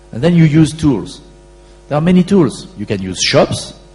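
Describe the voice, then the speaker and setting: A man speaks with a French accent, his pitch swinging very widely. Music plays in the background. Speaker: e-commerce company founder and CEO. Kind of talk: conference Q&A answer.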